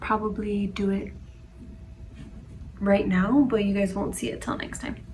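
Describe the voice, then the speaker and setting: Noticeable background noise surrounds a woman talking with an American accent. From Denver, Colorado, US. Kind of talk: casual talk to camera.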